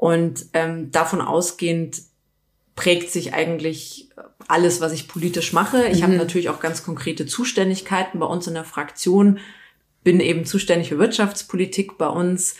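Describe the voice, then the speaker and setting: A woman's unremarkable speaking voice, fairly low in pitch, at a moderate pace with fairly even intonation. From Bavaria, Munich area. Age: 30s. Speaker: politician. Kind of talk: casual interview.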